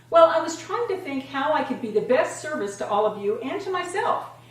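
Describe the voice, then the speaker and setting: A woman at a fairly quick pace with very wide pitch swings, amid noticeable background noise and audible room echo. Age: 60s. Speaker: fitness and lifestyle vlogger. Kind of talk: casual vlog talk to camera.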